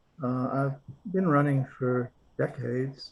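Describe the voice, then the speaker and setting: A man speaks at a very slow pace in a medium pitch. His voice is somewhat breathy. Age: 70s. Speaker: client testimonial. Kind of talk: testimonial interview.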